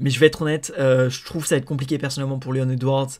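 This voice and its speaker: The voice keeps a flat, monotone intonation over a very clean recording with a silent background. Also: man. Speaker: MMA podcaster. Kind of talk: solo podcast commentary. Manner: fast; halting, many fillers.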